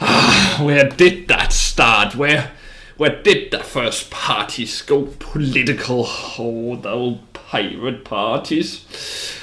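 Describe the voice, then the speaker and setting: Using a put-on character voice, a man talks at a very slow pace with a fairly high pitch. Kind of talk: music quiz host in character.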